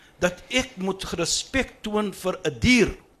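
Lively intonation marks this man's speech. His tone is bright and sharp. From Cape Town, South Africa. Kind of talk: panel discussion.

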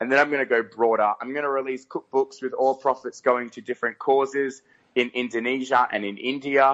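The speaker uses an Australian accent, moving at a fairly quick pace with monotone, flat intonation. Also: man, medium pitch for a man. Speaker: pageant winner. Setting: phone call.

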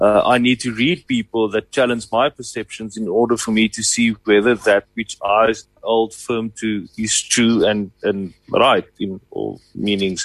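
At a fairly slow pace with hardly any pauses, a man talks in an unremarkable speaking voice at medium pitch, with fairly even intonation and a dry, close sound with no echo. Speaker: co-presenter. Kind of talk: casual chat.

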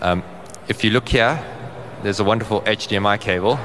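Noticeable background noise behind a man's moderately paced speech. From South Africa, Johannesburg. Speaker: conference speaker on insurance data. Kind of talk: conference presentation.

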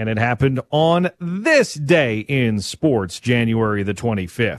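Against a quiet background, a man talks at a fairly slow pace and medium pitch. He has an ordinary speaking voice with ordinary pitch variation. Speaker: radio sports host. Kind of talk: sports talk radio chat. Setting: radio studio.

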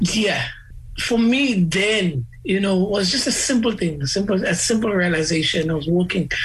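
A man's high-pitched voice with lively intonation and very even loudness at a moderate pace, with audible room echo and noticeable background noise. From South Africa, Eastern Cape (Gqeberha). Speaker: musician. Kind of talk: interview. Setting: video call.

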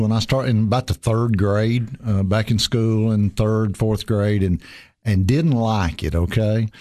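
A man with a Tennessee accent at a moderate pace, medium in pitch with ordinary variation, very even in loudness, over a quiet background. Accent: Southern US (Tennessee). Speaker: county mayor and church pianist. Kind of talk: casual interview.

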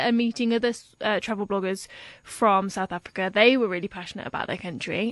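Against a quiet background, a woman with a normal speaking voice talks at a fairly quick pace, using a fairly high pitch and fairly even intonation. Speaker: blogger. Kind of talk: casual interview chat.

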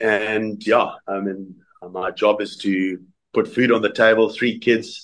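A man's very slow, monotone, flat delivery with a fairly low pitch and a South African accent. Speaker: former rugby player. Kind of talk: interview. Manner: halting.

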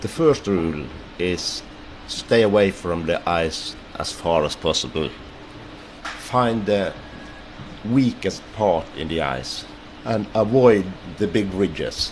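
With a Norwegian accent, a man of fairly low pitch speaks at a very slow pace with lively intonation and long, frequent pauses, amid noticeable background noise. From Norway. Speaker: ice pilot. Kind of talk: interview.

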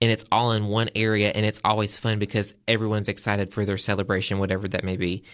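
With a Southern US accent, a man speaks in a fairly low, flat, monotone voice over a quiet background. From US South. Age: 20s. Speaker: agriculture advocate and event designer. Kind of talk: interview. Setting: studio.

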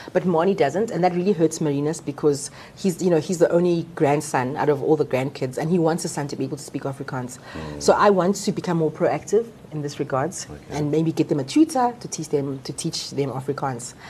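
Speaking at a fairly quick pace, a woman with a very deep, low pitch and a dark, mellow, somewhat breathy tone shows ordinary pitch variation. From Zimbabwe, Harare. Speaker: doctor. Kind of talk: casual chat.

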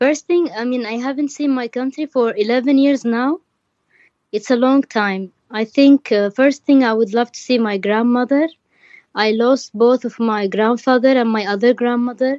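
A woman with an Arabic accent speaks in a high pitch at a moderate pace with ordinary pitch variation, the sound dry and close with no echo. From Yemen. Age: 20s. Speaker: refugee. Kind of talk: interview.

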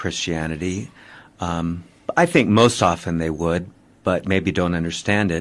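Over a quiet background, a man with an American accent speaks at a fairly slow pace in a very deep, low pitch with ordinary pitch variation. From California. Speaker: priest and film producer. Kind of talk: interview.

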